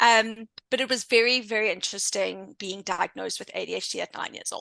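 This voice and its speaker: In a South African accent, the speaker talks at a fairly quick pace with a bright, sharp tone and some vocal fry. The sound is dry and close with no echo, over a quiet background. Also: woman. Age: 30s. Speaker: intuition coach and entrepreneur. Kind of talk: interview podcast.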